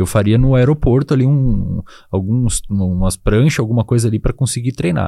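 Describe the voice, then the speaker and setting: At a moderate pace, a man with a medium-pitched voice and a dark, mellow tone speaks at very even loudness with ordinary pitch variation. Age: 20s. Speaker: psychologist and neuroscience expert. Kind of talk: casual interview.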